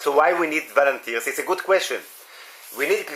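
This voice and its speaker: A man with an Israeli accent and fairly even intonation, over noticeable background noise. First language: Hebrew. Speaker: municipal volunteer coordinator. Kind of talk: workshop discussion. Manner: halting.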